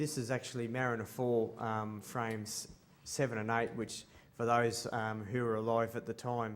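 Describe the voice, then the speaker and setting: A man speaks with an Australian accent. Room echo is audible. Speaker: space artist. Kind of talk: conference presentation. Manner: halting, many ums.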